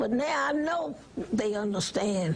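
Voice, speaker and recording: The intonation is lively, in an American accent. Background noise is noticeable throughout. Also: woman. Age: 80s+. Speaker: voting rights activist. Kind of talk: TV interview answer.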